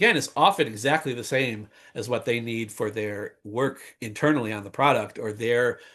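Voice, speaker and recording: A man at medium pitch uses a normal speaking voice with ordinary pitch variation against a quiet background. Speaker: conference speaker on technical documentation. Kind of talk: webinar talk.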